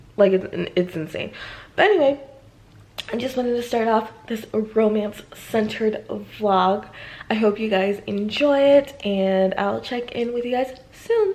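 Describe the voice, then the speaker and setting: Noticeable background noise sits behind a woman with a fairly high voice speaking at a fairly slow pace. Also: ordinary pitch variation. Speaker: book vlogger. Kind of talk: casual vlog talk to camera. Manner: animated.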